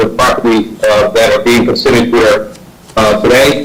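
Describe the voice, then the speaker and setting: A man speaks at a moderate pace in an American accent. There is noticeable background noise and audible room echo. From US South, South Carolina. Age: 60s. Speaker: public commenter, retired federal executive and veteran. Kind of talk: public testimony at planning board meeting. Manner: halting, many fillers.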